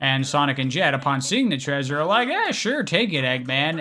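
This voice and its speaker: Noticeable background noise sits behind a man speaking in a fairly high voice. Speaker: video game story retrospective creator. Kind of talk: casual commentary narration. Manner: casual, informal, profane.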